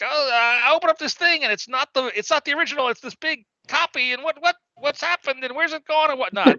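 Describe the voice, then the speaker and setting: A squeaky, high-pitched put-on character voice races along at a very fast pace with hardly any pauses. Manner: very fast, flustered.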